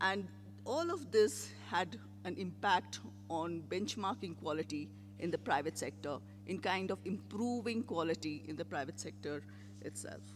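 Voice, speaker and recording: The man's voice is somewhat breathy and fairly high in pitch. His pitch swings very widely. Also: moderate pace. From India. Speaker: public health program leader. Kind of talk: conference panel presentation.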